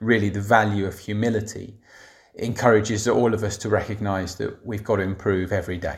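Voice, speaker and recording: In a very clean recording with a silent background, a man with a London accent talks at a fairly quick pace in a fairly low pitch. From north London, England. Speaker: secondary school head teacher. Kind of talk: reflective monologue.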